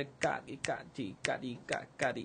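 A man's voice over light background noise. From Colombia. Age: 20s. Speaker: percussionist; interviewee. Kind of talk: interview. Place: studio. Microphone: studio mic.

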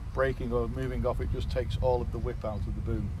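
A man talks at a very fast pace with ordinary pitch variation. The sound is dry with no echo, though background noise is noticeable. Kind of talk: product walkaround explanation. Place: open country. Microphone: phone near.

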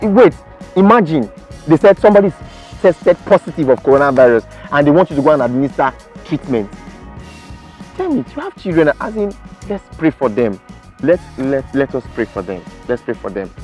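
A man speaks at a fairly quick pace, with big swings in loudness. The sound is dry with no echo, and faint music plays in the background. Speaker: show host. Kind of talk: news commentary. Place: garden. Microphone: lapel.

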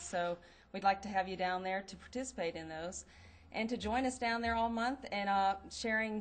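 Moderate pace and ordinary pitch variation from a woman speaker. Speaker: school environmental educator. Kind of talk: press statement. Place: hall. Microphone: podium.

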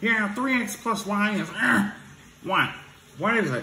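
A man's put-on character voice, high in pitch, at a fairly slow pace with audible echo. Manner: droning, mocking imitation.

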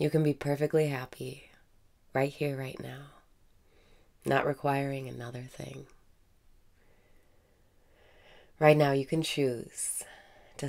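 A woman's very deep, low voice at a fairly slow pace, flat and monotone in intonation. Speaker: meditation guide. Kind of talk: guided meditation. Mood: calm, warm, smiling. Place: home room. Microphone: webcam.

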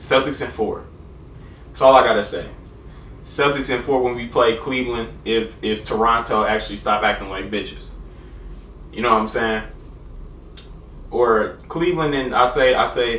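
At a moderate pace, a man speaks with ordinary pitch variation and long, frequent pauses, over light background noise with audible room echo. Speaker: youtuber reacting to video. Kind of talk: casual vlog chat. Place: home room. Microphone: camera far.

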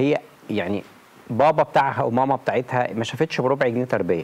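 The speech moves at a fairly quick pace. Its pitch variation is ordinary. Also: man. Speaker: talk show guest. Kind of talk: interview answer. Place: studio. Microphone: lapel.

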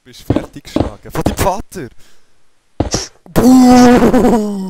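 A man with a Swiss accent talks at a very slow pace. His high pitch carries lively intonation. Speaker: let's player. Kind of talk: casual gaming commentary.

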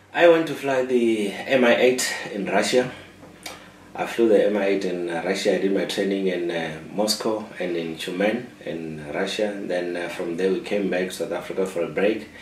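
A man's fairly low voice at a moderate pace, with audible room echo and light background noise. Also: ordinary pitch variation. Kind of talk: interview answer. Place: office.

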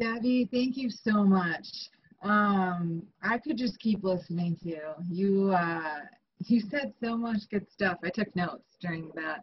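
Somewhat breathy, a woman speaks at a fairly slow pace. Her medium pitch shows ordinary variation. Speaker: meeting host. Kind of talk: meeting chair remarks. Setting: video call.

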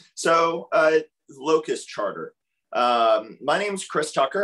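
Moderate pace against a quiet background. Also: man. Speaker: author and technology researcher; presenter. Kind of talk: webinar presentation. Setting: video call. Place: home room. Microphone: video call.

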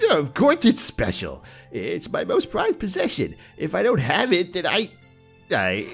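Someone uses a put-on character voice at a moderate pace, leaving long, frequent pauses. Faint music plays in the background. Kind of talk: comic put-on old-man impression by a gameplay host. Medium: game stream. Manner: grumpy, fussing, then eager and pleased.

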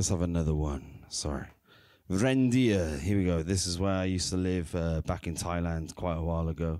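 Over a quiet background, a man with a very deep, low pitch and a dark, mellow, nervous tone speaks with ordinary pitch variation in a dry sound with no echo. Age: 30s. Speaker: poet. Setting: stage with audience at an open mic. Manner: wry, self-mocking and casual, undercutting his own poems. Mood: wry, reflective. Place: stage. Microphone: handheld.

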